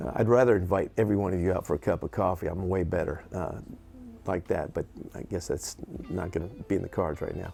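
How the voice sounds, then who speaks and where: Over music in the background, a man talks very fast in a very deep, low voice with ordinary pitch variation. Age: 60s. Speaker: session guitarist and producer. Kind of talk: casual talk to camera. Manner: chatty; halting, many fillers and restarts.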